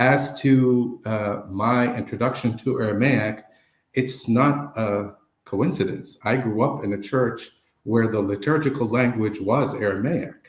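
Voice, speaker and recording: A somewhat breathy, medium-pitched male voice with fairly even intonation, on a very clean recording with a silent background. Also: fairly slow pace. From Lebanon. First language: Arabic. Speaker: photographer and vlogger. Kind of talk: interview.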